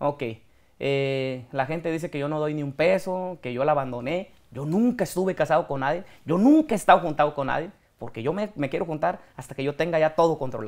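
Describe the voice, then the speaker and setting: The background is quiet and the pace is fairly quick. Pitch moves with ordinary variation. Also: man, fairly high pitch for a man. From Mexico, Michoacán (Apatzingán, rural); Michoacán, Mexico. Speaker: regional Mexican singer; interview guest. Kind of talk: interview. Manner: casual, colloquial. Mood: defensive, earnest about criticism. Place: studio. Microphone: lapel.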